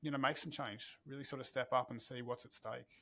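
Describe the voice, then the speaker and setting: Speaking with an Australian accent at a fairly quick pace, a man uses a medium pitch, a bright, sharp tone and fairly even intonation. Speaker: podcast host. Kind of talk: podcast interview.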